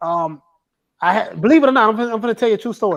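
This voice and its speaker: This man speaks with a Southern accent. His pitch sits high. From Florida, US South. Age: 40s. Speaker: boxing YouTuber. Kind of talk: casual chat.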